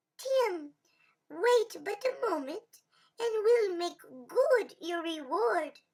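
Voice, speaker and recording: Squeaky, extremely high-pitched put-on character voice at a very slow pace. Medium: read story. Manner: sly, playful.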